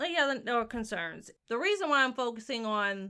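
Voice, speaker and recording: At a moderate pace, a Southern US accent comes through with a bright, sharp tone and ordinary pitch variation on a very clean recording with a silent background. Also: woman. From US South. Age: 30s. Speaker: podcast co-host. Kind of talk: casual chat. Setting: studio with microphones.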